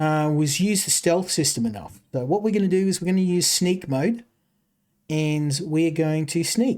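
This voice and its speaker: At a moderate pace, the speaker talks in an Australian accent. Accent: thick Australian. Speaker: game streamer. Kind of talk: live gameplay commentary. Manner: halting, many fillers and repeats.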